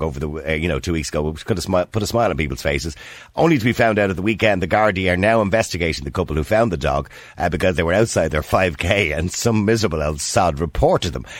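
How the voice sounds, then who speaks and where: Speaking with an Irish accent at a very fast pace, a man uses lively intonation with vocal fry. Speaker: radio host. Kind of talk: casual chat.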